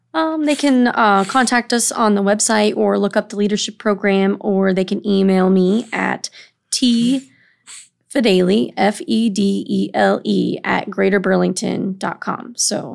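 A woman with a Midwestern American accent speaks at a fairly slow pace in a medium pitch, with ordinary pitch variation, on a very clean recording with a silent background. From Illinois, Quad Cities (East Moline). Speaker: workforce program manager, former teacher. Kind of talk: interview conversation.

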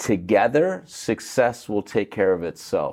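Speaking at a fairly slow pace, a man with an American accent has an unremarkable speaking voice and a fairly low pitch. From United States. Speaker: beverage company co-founder, former chiropractor. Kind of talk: casual interview.

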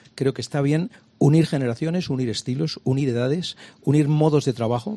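This man's voice has a dark, mellow tone at a medium pitch. He talks at a fairly quick pace. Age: old. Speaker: comedian and TV presenter. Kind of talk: radio interview.

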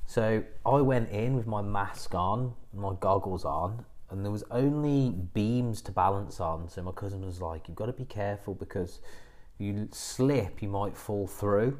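A man's plain, everyday voice, fairly low in pitch, at a fairly slow pace with ordinary pitch variation. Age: 30s. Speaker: yoga teacher and business coach podcast host. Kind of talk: solo podcast monologue.

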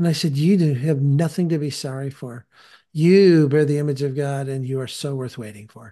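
A man speaks at a moderate pace with a fairly high pitch, a dark, mellow tone and ordinary pitch variation. His loudness swings widely against a quiet background. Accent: American. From California. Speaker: podcast host and disciple-making teacher. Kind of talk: casual interview conversation about faith.

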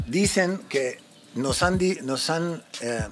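A man speaks with an English accent. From United States. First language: English (speaking Spanish). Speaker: musician and songwriter. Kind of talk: casual chat.

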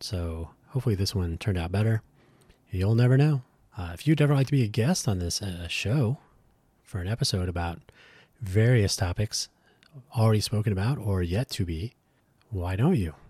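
A man with a dark, mellow tone and a fairly low pitch sounds somewhat breathy, his intonation lively. He talks at a fairly quick pace broken by long, frequent pauses, in a very clean recording with a silent background. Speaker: podcast host. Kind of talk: solo podcast monologue. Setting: solo recording. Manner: hesitant, many fillers.

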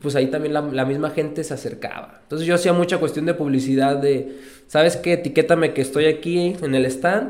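A man's normal speaking voice, fairly high in pitch, at a fairly quick pace with ordinary pitch variation. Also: hardly any pauses. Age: 30s. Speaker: entrepreneur. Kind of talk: casual interview chat. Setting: studio.

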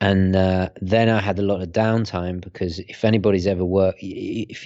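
This man has a very deep, low voice and speaks with a British accent. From Britain. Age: 30s. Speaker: watch reviewer. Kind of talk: casual chat. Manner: halting, frequent repetitions.

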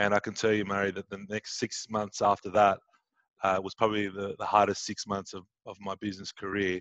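Against a quiet background, a man with a fairly low pitch talks at a fairly quick pace in a monotone, flat intonation, his loudness swinging widely, and the sound is dry and close with no echo. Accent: Australian. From Sydney, Australia. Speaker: entrepreneur and business coach. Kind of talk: interview. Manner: hesitant, many fillers.

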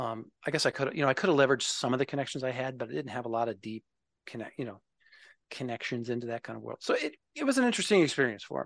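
Against a quiet background, a man talks at a very fast pace and medium pitch, with vocal fry and a dry, close sound with no echo. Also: ordinary pitch variation. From Minnesota, US Midwest. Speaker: software developer advocate, navy veteran. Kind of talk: interview conversation. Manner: halting, many fillers.

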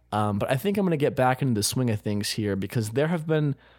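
In a very clean recording with a silent background, a man at medium pitch speaks at a very fast pace with very wide pitch swings. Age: 20s. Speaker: podcast host. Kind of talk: casual chat. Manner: animated.

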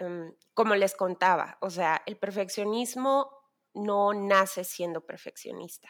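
Her pitch sits at a medium level for a woman, with ordinary pitch variation. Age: 30s. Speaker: worship leader and designer. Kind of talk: casual chat.

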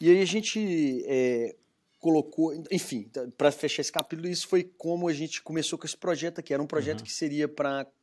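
The speaker, with a Minas Gerais accent, talks at a moderate pace with ordinary pitch variation in a very clean recording with a silent background. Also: man. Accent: Minas Gerais Brazilian Portuguese. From Brazil, Minas Gerais (Belo Horizonte). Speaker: entrepreneur, craft brewery founder. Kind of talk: interview, casual conversation.

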